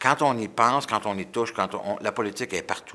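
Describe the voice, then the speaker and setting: Speaking at a very fast pace, a man uses a bright, sharp tone at a medium pitch. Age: 60s. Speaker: politician. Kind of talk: interview answers. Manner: halting, many repetitions; enthusiastic.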